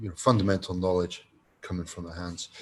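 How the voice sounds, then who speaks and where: Somewhat breathy and with a Scottish accent, a man speaks in a very deep, low pitch with monotone, flat intonation. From Scotland. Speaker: design lecturer. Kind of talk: online course presentation. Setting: online presentation. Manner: hesitant, many fillers.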